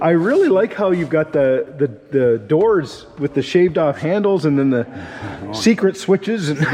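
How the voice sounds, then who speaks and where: A man's enthusiastic, fairly high-pitched voice with lively intonation at a moderate pace, over noticeable background noise. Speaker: car show video host and interviewer. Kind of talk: casual interview conversation.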